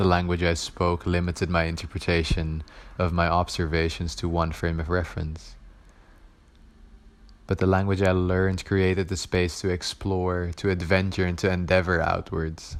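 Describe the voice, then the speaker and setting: Speaking at a moderate pace with a Dutch accent, a man uses a very deep, low voice with monotone, flat intonation. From Netherlands. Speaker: art student. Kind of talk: spoken word poetry performance.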